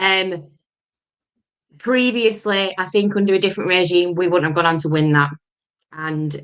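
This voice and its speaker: Speaking fairly slowly with a Lancashire accent, a woman uses fairly low pitch and ordinary pitch variation. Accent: Lancashire (Bolton). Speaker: football podcast host. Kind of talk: casual chat.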